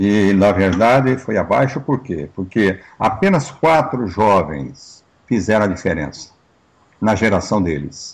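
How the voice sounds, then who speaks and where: Very slowly, a man speaks in a fairly low voice with lively intonation. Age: 60s. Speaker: pastor and interview host. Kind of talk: interview talk.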